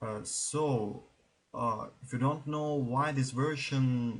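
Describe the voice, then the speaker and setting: Speaking with a non-native accent, a man uses a medium pitch. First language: not English. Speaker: gaming YouTuber. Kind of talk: let's play commentary. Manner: halting.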